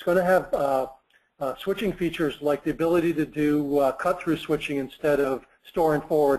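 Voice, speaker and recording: A man talks fairly quickly, his pitch fairly high and varying in an ordinary way. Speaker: product marketing director presenting. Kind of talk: technical webinar presentation. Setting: online webinar. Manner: fast; hesitant with fillers.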